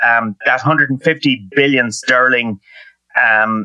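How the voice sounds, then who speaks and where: A man with an Irish accent speaks at a fairly slow pace, his intonation fairly even. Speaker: economist. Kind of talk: interview.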